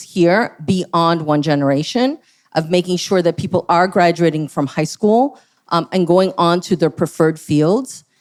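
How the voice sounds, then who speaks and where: A woman with a Spanish accent, a fairly low pitch, ordinary pitch variation and a moderate pace. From San Francisco, California. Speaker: school board candidate. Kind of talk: candidate forum answer. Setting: stage with audience.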